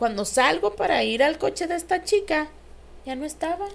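A woman speaks with a Mexican accent. Her pitch swings very widely. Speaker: podcast co-host. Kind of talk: casual chat.

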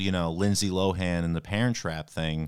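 A man talks with a New York accent. His pace is moderate. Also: very clean recording, silent background. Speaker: comedian. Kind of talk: casual chat.

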